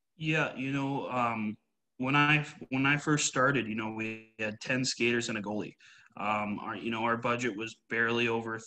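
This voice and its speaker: Over a quiet background, a man with a Canadian Prairies accent speaks at a medium pitch in a bright, sharp tone. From Canada, Winnipeg, Manitoba. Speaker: women's hockey coach; hockey coach being interviewed. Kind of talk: interview. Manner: hesitant, many fillers. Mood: relaxed, conversational. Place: home room. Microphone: video call.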